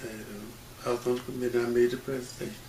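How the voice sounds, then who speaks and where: With an American accent, a man talks at a medium pitch amid audible room echo and noticeable background noise. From Mississippi, rural Issaquena County. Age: 80s+. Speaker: civil rights pioneer and credit union manager. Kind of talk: oral history interview.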